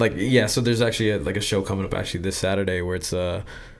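A man speaks with a fairly low pitch and fairly even intonation. The room echo is audible. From US military family, partly raised in Japan. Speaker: illustrator. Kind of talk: casual chat. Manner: halting, many fillers.

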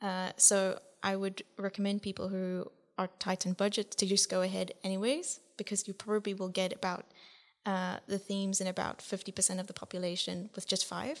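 A woman's monotone, flat delivery on a very clean recording with a silent background. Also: medium pitch for a woman, moderate pace. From Southern Africa. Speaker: guest researcher. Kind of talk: podcast discussion.

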